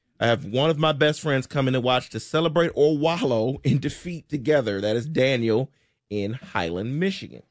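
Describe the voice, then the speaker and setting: At a moderate pace over a quiet background, a plain, everyday voice speaks with lively intonation. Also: man, medium pitch for a man. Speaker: radio co-host. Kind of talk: reading listener texts on sports radio. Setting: studio.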